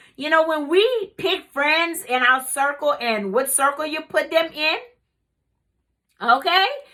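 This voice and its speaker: With a raised, projected voice and a bright, sharp tone, a woman speaks at a moderate pace with lively intonation in a very clean recording with a silent background. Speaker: life coach. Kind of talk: motivational talk. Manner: loud; casual.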